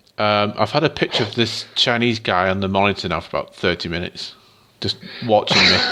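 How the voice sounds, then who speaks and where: A man's fairly low-pitched voice with ordinary pitch variation, over noticeable background noise. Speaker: gaming podcast co-host. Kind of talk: casual chat. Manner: reading news from an article, script-like.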